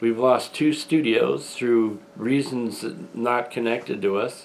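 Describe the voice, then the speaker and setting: A very slow pace from a man at a medium pitch. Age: 60s. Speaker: independent filmmaker and channel owner. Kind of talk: video announcement monologue. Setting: at home, front room.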